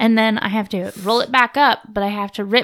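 A woman with a plain, everyday voice speaks at a fairly high pitch and moderate pace. Her intonation is fairly even, in a very clean recording with a silent background. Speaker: host's wife, guest. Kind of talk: casual chat. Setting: home bathroom studio.

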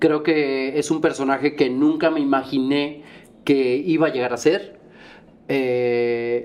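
At a fairly slow pace, a man with a medium pitch and ordinary pitch variation speaks in a plain, everyday voice. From Monterrey, Nuevo León, Mexico. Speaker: musical theatre actor and singer. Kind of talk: casual chat.

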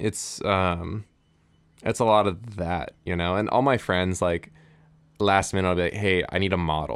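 In an American accent, a man with a very deep, low pitch talks at a moderate pace with fairly even intonation. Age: 20s. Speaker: music promoter and clothing company founder. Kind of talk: casual chat. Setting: home garage.

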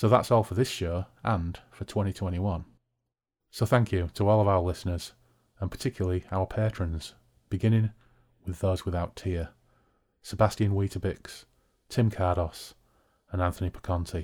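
With a British accent, a man with a very deep, low pitch speaks at a moderate pace, leaving long, frequent pauses. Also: fairly even intonation. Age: 40s. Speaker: podcast host. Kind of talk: casual chat over drinks. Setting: video call, recorded remotely. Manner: chatty, humorous.

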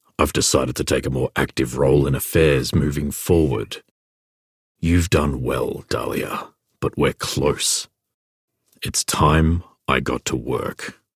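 A raspy voice moves at a fairly slow pace with long, frequent pauses. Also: man, very deep, low pitch for a man. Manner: calm, authoritative.

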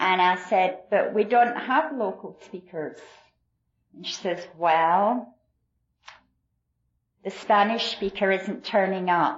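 Speaking very slowly with long, frequent pauses, a woman with a Glasgow accent has a warm tone, a medium pitch and ordinary pitch variation. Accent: Scottish, Glasgow. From Glasgow, Scotland. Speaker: AA meeting speaker. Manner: warm, self-deprecating, laughs often.

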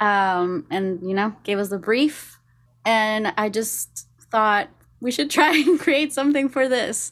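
A woman with a Spanish accent, fairly high pitch, lively intonation and a very slow pace. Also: very clean recording, silent background. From Costa Rica. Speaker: singer-songwriter. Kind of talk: casual interview chat.

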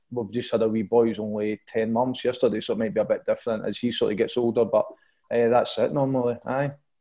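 In a Scottish accent, a man talks at a very fast pace against a quiet background. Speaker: football player. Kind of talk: casual interview answers.

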